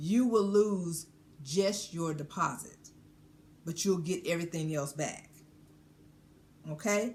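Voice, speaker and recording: Very slowly, with long, frequent pauses, a woman speaks in a fairly low, somewhat breathy voice with ordinary pitch variation. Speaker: cruise vlogger. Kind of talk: informational explainer. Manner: deliberately slowed down.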